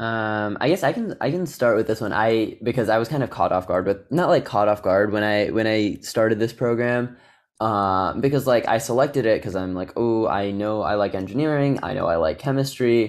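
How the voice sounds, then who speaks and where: A man with an American accent and an ordinary speaking voice at medium pitch, fairly quick pace, ordinary pitch variation, hardly any pauses, in a very clean recording with a silent background. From Naperville, Illinois, US Midwest. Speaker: engineering student. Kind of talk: casual chat.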